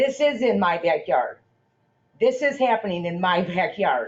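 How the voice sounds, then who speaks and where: A woman speaks loudly at a moderate pace, her pitch in the medium range. Her pitch swings very widely. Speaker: resident making public comment. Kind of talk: public comment at town meeting. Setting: town council meeting room.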